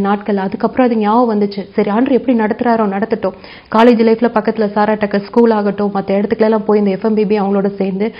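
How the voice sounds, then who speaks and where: With fairly even intonation, a woman talks at a fairly high pitch. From Tamil Nadu, Palani area; Tamil Nadu. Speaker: medical doctor and ministry leader. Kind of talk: testimony. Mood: earnest, warm. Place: studio.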